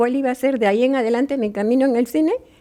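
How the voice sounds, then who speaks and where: A woman with a high pitch and a dark, mellow tone speaks with ordinary pitch variation. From Peru, Lima. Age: 80s+. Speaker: filmmaker. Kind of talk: interview. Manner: halting.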